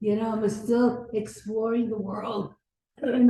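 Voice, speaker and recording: Woman with a fairly high pitch at a very slow pace. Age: 80s+. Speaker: discussion participant. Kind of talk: casual discussion. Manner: halting.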